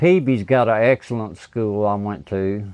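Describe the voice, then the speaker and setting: A man speaks at a fairly slow pace with a medium pitch. He has an unremarkable speaking voice. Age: 60s. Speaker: guitar amp repair technician. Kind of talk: casual interview chat.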